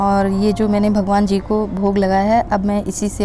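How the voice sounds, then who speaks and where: A woman's voice amid noticeable background noise. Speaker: vlogger, housewife. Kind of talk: casual vlog narration. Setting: at home, kitchen and shrine.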